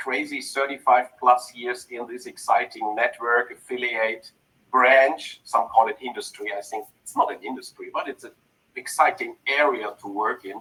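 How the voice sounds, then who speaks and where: The man speaks with a German accent. His loudness swings widely. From Germany, North Rhine-Westphalia. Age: 50s. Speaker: network marketing entrepreneur. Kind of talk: personal story on a group video call. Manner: deliberately slow for translators.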